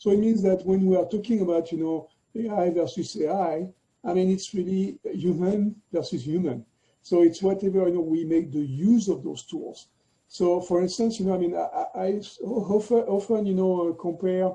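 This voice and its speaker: A man speaks with a French accent and a dark, mellow tone. His high pitch shows ordinary variation. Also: moderate pace. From France. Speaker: tech executive. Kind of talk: interview. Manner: halting, many fillers.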